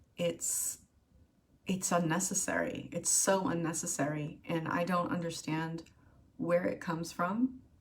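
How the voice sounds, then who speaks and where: Noticeable background noise surrounds this woman's voice. She talks at a fairly slow pace with a fairly low pitch. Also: ordinary pitch variation. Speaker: video blogger. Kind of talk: personal vlog monologue. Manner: halting, many fillers.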